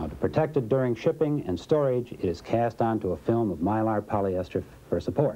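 Moving at a fairly quick pace, a man speaks at medium pitch in a dark, mellow tone. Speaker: corporate film narrator. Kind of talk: vintage industrial training-film narration, scripted and promotional. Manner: formal, even-paced, polished and authoritative; measured, dry, didactic. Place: studio.

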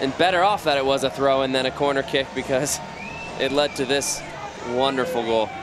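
Over noticeable background noise, a man talks at a fairly quick pace with very even loudness, a medium pitch and ordinary pitch variation. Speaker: color commentator. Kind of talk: live match commentary with analysis. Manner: conversational, explanatory, fairly measured with some filler.

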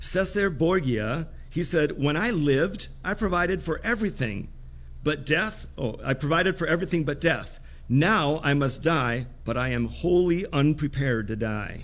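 A man talks at a moderate pace. His voice carries vocal fry. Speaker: preacher. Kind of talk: sermon. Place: church. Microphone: headset.

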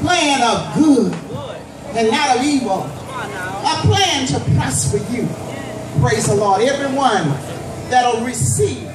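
Over noticeable background noise and audible room echo, a woman with a fairly high pitch speaks at a very slow pace, her pitch swinging very widely. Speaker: evangelist preacher. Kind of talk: fervent outdoor festival prayer and altar call, call-and-response exhortation. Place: street.

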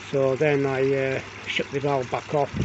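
Fairly slow, flat, monotone speech from a man, dry with no echo, against noticeable background noise. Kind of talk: casual vlog chat. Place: garden. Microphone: phone near.

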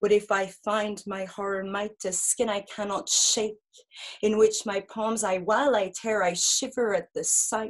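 Fairly slow and fairly even in intonation, a woman with an unremarkable speaking voice talks at a fairly high pitch over a quiet background. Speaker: poet and performance artist; poet. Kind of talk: experimental poetry performance. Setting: video call. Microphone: webcam.

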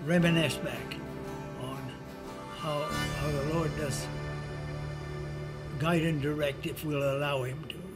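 A man at a fairly slow pace with long, frequent pauses, loud music in the background. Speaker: church member, retired. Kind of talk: personal testimony, interview answer. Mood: warm, reflective, devout. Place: home room.

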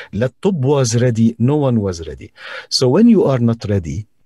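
A man with a Levantine accent speaks at medium pitch and a moderate pace, somewhat breathy, with a dark, mellow tone. The sound is dry and close, with no echo. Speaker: voice-over artist and TV presenter. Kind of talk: casual chat. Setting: video call.

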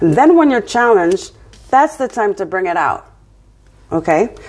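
A woman speaks with a slight French accent at a moderate pace. Her pitch swings very widely. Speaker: tarot reader. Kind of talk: tarot reading. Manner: casual, conversational. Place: home room. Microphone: phone near.

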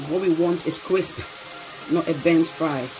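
The speech moves at a moderate pace while music plays in the background. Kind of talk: tutorial. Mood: cheerful, pleased. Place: kitchen. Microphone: phone near.

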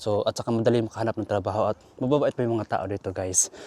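Very fast speech comes from a man with a medium pitch and a dark, mellow tone. The sound is dry and close, with no echo. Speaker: vlogger, former overseas worker. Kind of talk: casual vlog. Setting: outdoors. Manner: rambling, casual.

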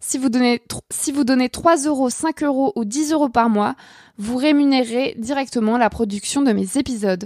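A woman's high voice at a moderate pace, with ordinary pitch variation and a dry, close sound with no echo. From France. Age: 20s. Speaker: podcast host, journalist. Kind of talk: sponsor thanks and outro; casual personal monologue. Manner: hesitant with many fillers.

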